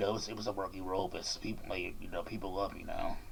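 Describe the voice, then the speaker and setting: In a room with audible echo, a man speaks at a very fast pace in a monotone, flat intonation. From Washington DC. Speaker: YouTuber and rapper interviewing a guest. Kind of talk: casual interview.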